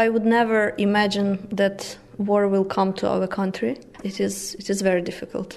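Noticeable background noise sits behind a woman with a medium pitch. Her pace is moderate and her intonation fairly even. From western Ukraine, Lviv. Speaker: employment support officer. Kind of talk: interview.

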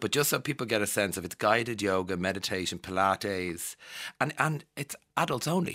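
Lively intonation marks this man's speech in an Irish accent. He talks at a fairly quick pace. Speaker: radio host. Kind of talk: casual interview. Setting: studio.

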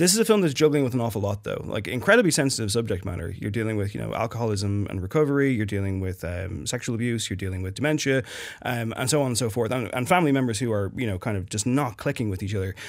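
A very fast man with an Irish accent at medium pitch, ordinary pitch variation and hardly any pauses. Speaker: film critic. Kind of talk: studio discussion. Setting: studio.

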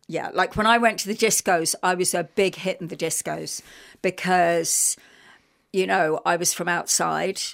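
In a very clean recording with a silent background, a woman with vocal fry speaks fairly slowly at a fairly low pitch with fairly even intonation. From London, England. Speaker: playwright and performer. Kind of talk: radio interview.

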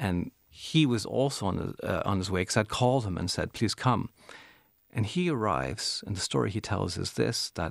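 On a very clean recording with a silent background, a man with a fairly low voice and vocal fry speaks at a moderate pace with lively intonation. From Canada. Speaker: curator and writer. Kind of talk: casual chat.

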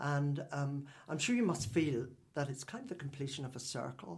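At a moderate pace, a man speaks in a fairly high, somewhat breathy voice. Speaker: radio host. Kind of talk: interview. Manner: formal, measured.

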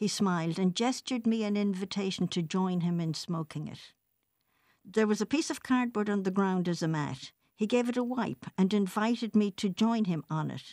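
A woman with a western Irish accent speaks at a moderate pace, her medium pitch showing ordinary variation. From west of Ireland. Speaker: essay contributor. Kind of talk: reading aloud.

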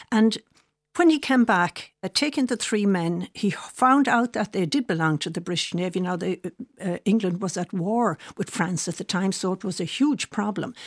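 Over a quiet background, a woman with an Irish accent talks at a moderate pace in a medium pitch, her intonation lively. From Ireland. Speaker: author and biographer. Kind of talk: radio interview.

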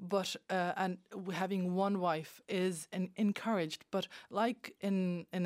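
On a very clean recording with a silent background, a woman with a Bosnian accent speaks at medium pitch. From former Yugoslavia, Bosnia. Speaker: regular contributor. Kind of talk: panel discussion. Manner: halting.

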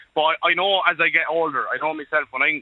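Here a man speaks with an Irish accent. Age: 20s. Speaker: truck driver. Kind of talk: radio phone-in.

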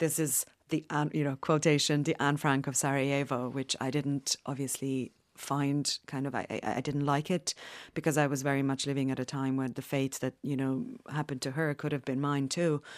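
A woman speaks with a very deep, low pitch and monotone, flat intonation at a moderate pace. The sound is dry and close with no echo, against a quiet background. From Bosnia. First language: Bosnian. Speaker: author and war survivor. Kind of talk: interview. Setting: studio.

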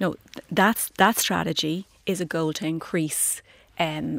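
This woman has an Irish accent and a fairly low pitch, with fairly even intonation. The sound is dry and close, with no echo. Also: very clean recording, silent background. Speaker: politician. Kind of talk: radio panel debate.

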